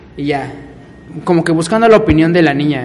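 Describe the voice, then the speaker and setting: A man with a Mexican accent talks at a fairly quick pace in a high voice. Noticeable background noise is present. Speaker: podcast co-host. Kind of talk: casual chat.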